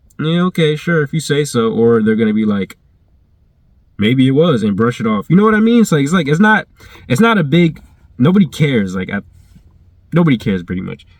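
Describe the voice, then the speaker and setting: Fairly high in pitch, a man speaks at a fairly quick pace with very wide pitch swings and long, frequent pauses. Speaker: YouTuber. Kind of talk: casual vlog storytelling. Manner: halting, many fillers and restarts.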